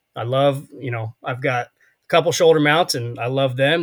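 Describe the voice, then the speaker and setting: The man's somewhat breathy voice comes at a moderate pace, with a dry, close sound and no echo. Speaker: podcast host. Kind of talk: casual chat.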